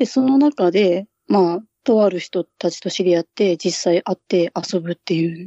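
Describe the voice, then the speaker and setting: Moderate pace and ordinary pitch variation from a woman, her pitch medium. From Japan, Hokkaido. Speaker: podcaster guest. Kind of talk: casual chat. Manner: low-key, subdued.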